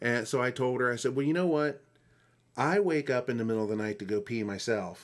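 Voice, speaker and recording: A normal speaking voice moves at a fairly quick pace with lively intonation against a quiet background. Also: man, medium pitch for a man. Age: 40s. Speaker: podcast host. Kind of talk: casual chat.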